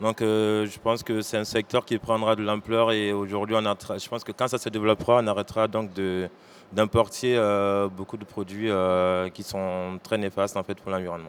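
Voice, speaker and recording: A man talks at a very fast pace with hardly any pauses, his pitch fairly low. His intonation is monotone and flat, on a very clean recording with a silent background. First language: French. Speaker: shoe brand founder. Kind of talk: panel discussion. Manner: hesitant.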